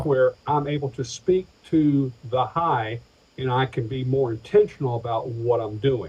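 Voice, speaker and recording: Using an American accent, a man with a medium pitch and somewhat breathy voice talks at a fairly slow pace with ordinary pitch variation. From Atlanta, Georgia, USA. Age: 50s. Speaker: pastor, insurance agent and stand-up comedian. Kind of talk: interview answer.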